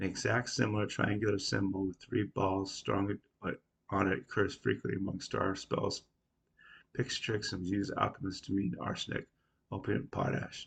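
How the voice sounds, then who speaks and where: A somewhat breathy voice moves at a moderate pace. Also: man, fairly low pitch for a man, ordinary pitch variation. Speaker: independent researcher / video creator. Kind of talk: casual explanatory monologue.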